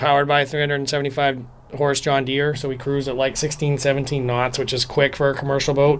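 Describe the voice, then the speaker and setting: Monotone, flat intonation from a man, with noticeable background noise. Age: 40s. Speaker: commercial fisherman. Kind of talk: casual explanation. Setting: on a fishing boat.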